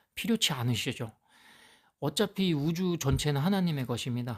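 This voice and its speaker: In a very clean recording with a silent background, a man at a fairly high pitch talks at a moderate pace with very wide pitch swings. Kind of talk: Bible teaching monologue. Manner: halting, with fillers.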